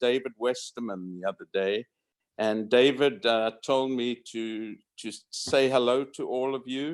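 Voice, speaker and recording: A man speaks in a southern African accent at a medium pitch. His pace is fairly slow and his intonation fairly even. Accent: southern African, unrecognized by Americans. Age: 70s. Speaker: retired radiologist. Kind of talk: reunion speech. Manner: halting.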